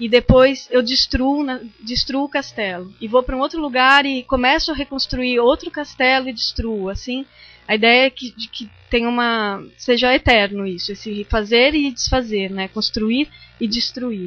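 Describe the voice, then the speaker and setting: A woman's high-pitched voice at a fairly slow pace. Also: ordinary pitch variation. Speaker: visual artist and lecturer. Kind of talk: lecture. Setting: seminar talk with audience. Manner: halting, many fillers.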